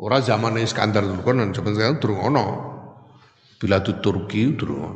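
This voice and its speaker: A man with a Javanese accent speaks at a fairly quick pace, with fairly low pitch and ordinary pitch variation, over noticeable background noise and audible room echo. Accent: Javanese-accented Indonesian. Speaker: Islamic teacher. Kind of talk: religious lecture.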